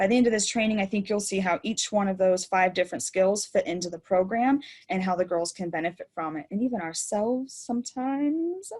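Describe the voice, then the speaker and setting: Somewhat breathy, a woman talks at a fairly quick pace with hardly any pauses. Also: medium pitch for a woman, lively intonation. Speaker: program manager giving volunteer training. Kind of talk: webinar training. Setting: online webinar. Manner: fast.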